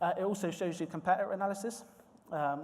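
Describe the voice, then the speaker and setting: A man in a West Country accent, with fairly even intonation. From South West England, Swindon. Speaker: recruitment manager. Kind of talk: conference presentation. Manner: hesitant, many fillers and repetitions.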